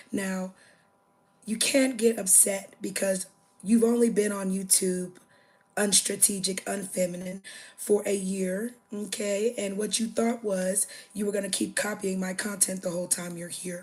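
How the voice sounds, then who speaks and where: Her voice is somewhat breathy. The woman speaks at a medium pitch. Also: fairly slow pace. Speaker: livestreamer. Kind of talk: casual livestream chat. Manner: animated.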